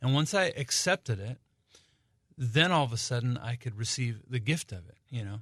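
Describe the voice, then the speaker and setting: A man talks at a moderate pace and a medium pitch, somewhat breathy. The sound is dry and close, with no echo. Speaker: singer-songwriter. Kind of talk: radio interview. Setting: radio studio. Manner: halting.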